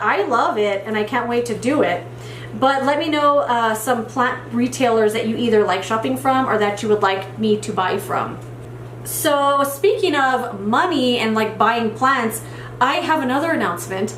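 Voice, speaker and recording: Over noticeable background noise and audible room echo, a woman with a fairly high pitch talks at a moderate pace with lively intonation. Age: 30s. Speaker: plant YouTuber. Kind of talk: casual vlog chat while repotting. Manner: casual, filler-heavy.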